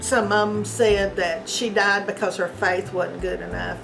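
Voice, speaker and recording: A woman with a Kentucky accent speaks at a moderate pace in a flat monotone. Noticeable background noise and audible room echo surround her voice. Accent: Southern Kentucky. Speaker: interview guest. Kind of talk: casual interview.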